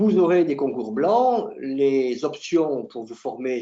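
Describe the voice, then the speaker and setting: A man speaks in a fairly high pitch with a dark, mellow tone. His pitch swings very widely. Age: 60s. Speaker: nursing school instructor and exam juror. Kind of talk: promotional talk to camera. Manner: hesitant, frequent filler sounds.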